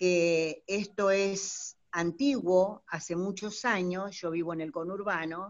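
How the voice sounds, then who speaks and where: At a very slow pace yet with hardly any pauses, a woman speaks in a medium pitch with fairly even intonation. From Buenos Aires, Argentina. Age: 60s. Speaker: teacher and gerontology student. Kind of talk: audience comment in online talk. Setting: video call from home. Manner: halting, many fillers.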